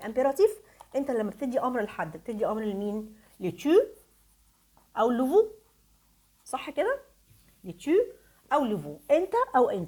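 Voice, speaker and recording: A woman speaks in an Egyptian accent with an animated tone. Her high pitch rises and falls in very wide swings. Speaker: French teacher. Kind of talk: tutorial.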